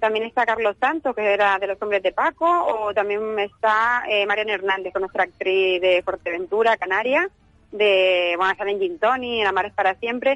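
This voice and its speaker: In a normal speaking voice, a woman speaks at a medium pitch and moderate pace with ordinary pitch variation, very even loudness, and dry, close sound with no echo. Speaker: film festival director. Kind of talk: radio interview. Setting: phone call.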